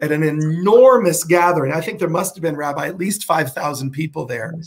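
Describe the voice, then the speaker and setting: Over a quiet background, a man's high-pitched voice shows ordinary pitch variation. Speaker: show host. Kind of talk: interview host chat. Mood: warm, laughing. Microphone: webcam.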